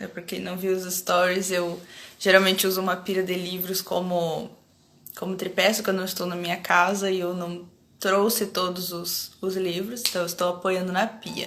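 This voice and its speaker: At a medium pitch, a woman speaks at a moderate pace with monotone, flat intonation. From Rio Grande do Sul, Brazil (Alegrete). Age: 30s. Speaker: academic researcher, anthropologist. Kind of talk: casual live-stream chat. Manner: hesitant with pauses.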